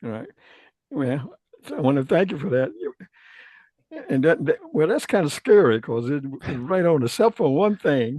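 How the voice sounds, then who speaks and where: With a Southern US accent, the speaker keeps a moderate pace broken by long, frequent pauses. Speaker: retired space programmer sharing old satellite programs. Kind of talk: casual group video call chat.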